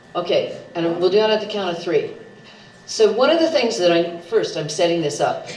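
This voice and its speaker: Noticeable background noise and audible room echo surround a woman's voice. Her pitch swings very widely. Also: medium pitch for a woman, moderate pace. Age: 70s. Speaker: political candidate. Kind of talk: debate opening statement. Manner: animated.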